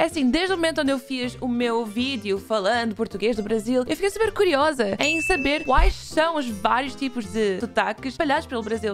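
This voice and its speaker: Over clear background music, a woman talks at a moderate pace. Her pitch is high and swings very widely. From Portugal. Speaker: reaction youtuber. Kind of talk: casual reaction video talk to camera. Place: home room. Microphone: studio mic.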